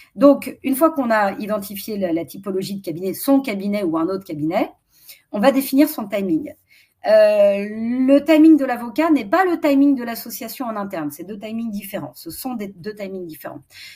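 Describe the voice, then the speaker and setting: Somewhat breathy and fairly high-pitched, a woman's voice makes very wide pitch swings and big swings in loudness. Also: moderate pace. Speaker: strategy consultant for lawyers. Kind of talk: webinar presentation. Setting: online webinar.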